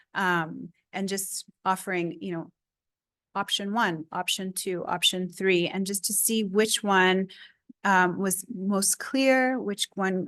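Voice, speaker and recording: A woman with a Spanish accent speaks at a very slow pace and a medium pitch. Her intonation is fairly even, over a quiet background. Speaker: research engagement speaker. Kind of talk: seminar Q&A.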